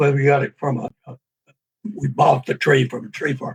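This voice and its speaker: A somewhat breathy man with a Southern US accent and a fairly high pitch speaks at a moderate pace, the sound dry and close with no echo. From US South, Tennessee. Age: 80s+. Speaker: author. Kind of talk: interview. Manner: halting.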